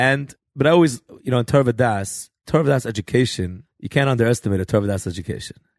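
Recorded dry and close with no echo in a quiet setting, a man with an American accent talks very fast at a medium pitch. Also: ordinary pitch variation. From New York (Flatbush, Borough Park). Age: young. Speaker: rabbi, author and choir director. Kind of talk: casual interview, storytelling.

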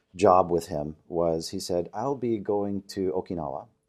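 A man with an American accent speaks at a fairly slow pace with a very deep, low pitch and ordinary pitch variation. The recording is very clean, with a silent background. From Oklahoma, Tulsa area. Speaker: trainer and business founder. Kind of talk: interview. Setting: in person.

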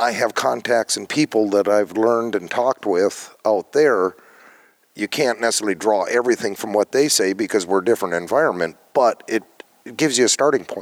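A man with an Upper Midwest accent speaks at a fairly quick pace, his pitch fairly low and ordinary in its variation. The sound is dry and close, with no echo. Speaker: farmer. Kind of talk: interview.

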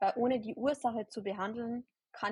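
A woman's fairly high, somewhat breathy voice with fairly even intonation at a moderate pace, dry and close with no echo. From Bavaria, near Ingolstadt. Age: 20s. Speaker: holistic health practitioner and nurse. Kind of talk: podcast interview. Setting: online recording.

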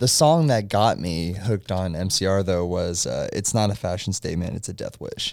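An ordinary speaking voice from a man, fairly low in pitch, at a moderate pace with ordinary pitch variation. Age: 20s. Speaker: podcaster and music fan guest. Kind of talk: casual chat.

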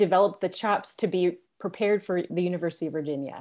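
A woman with an American accent talks at a fairly quick pace in a normal speaking voice, on a very clean recording with a silent background. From upstate New York. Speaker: school leader and educator. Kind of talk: casual chat.

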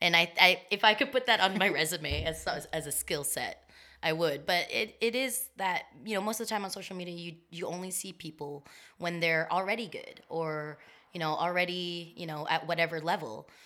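A woman speaks at a moderate pace in a fairly low voice, her tone bright and sharp. Her loudness swings widely, and the recording is very clean with a silent background. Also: ordinary pitch variation. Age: 30s. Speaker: roller skater. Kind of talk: casual chat. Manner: animated.

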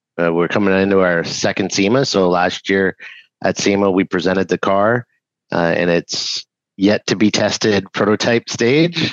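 Very deep, low male speech with ordinary pitch variation. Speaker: EV race car company founder. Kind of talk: technical interview.

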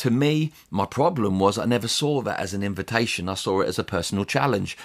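This man has an English accent. He speaks at a moderate pace. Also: very clean recording, silent background. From England. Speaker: pastor. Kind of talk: solo podcast teaching.

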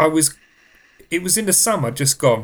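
A man speaks in an English accent at a moderate pace. His pitch swings very widely. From England. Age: 30s. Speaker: podcast host. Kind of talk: casual chat. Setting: studio.

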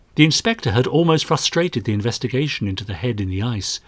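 With lively intonation, a natural-sounding voice reads a passage aloud.

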